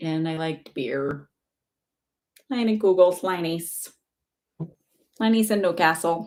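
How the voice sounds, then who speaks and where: Long, frequent pauses break up this very slow delivery in an American accent. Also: woman, fairly low pitch for a woman, ordinary pitch variation. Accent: Wisconsin accent, comes out at times. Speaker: psychic medium. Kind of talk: live-stream psychic readings. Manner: casual, chatty.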